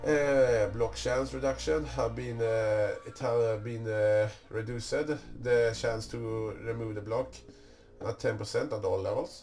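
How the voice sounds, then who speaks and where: Against noticeable background noise and audible room echo, a man speaks at a fairly slow pace. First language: not English. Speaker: gaming YouTuber. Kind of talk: tutorial. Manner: halting.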